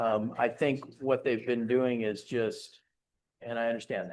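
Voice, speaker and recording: A man with a plain, everyday voice and a medium pitch talks at a moderate pace against a quiet background. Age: 60s. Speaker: developer representative answering council and residents. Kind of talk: public meeting Q&A. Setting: city council chambers.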